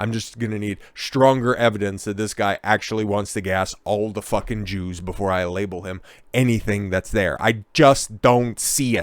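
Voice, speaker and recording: At a moderate pace, a man speaks in a fairly low pitch with ordinary pitch variation, in a very clean recording with a silent background. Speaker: political commentator. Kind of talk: casual commentary monologue. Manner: plain, no put-on inflection.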